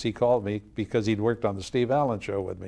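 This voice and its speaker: A man talking at a very fast pace. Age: 70s. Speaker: jazz pianist. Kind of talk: interview. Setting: studio. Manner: halting.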